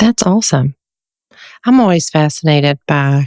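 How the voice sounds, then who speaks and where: A woman with a Southern US accent speaks at a very deep, low pitch. Her moderate pace comes through in a dry, close sound with no echo. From US South, North Carolina. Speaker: podcast host and social worker. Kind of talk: podcast interview.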